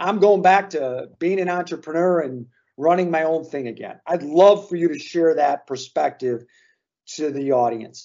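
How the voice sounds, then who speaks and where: Ordinary pitch variation marks a plain, everyday voice that proceeds at a moderate pace. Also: man, fairly high pitch for a man. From Chicago. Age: 50s. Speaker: podcast host, business consultant. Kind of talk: casual interview.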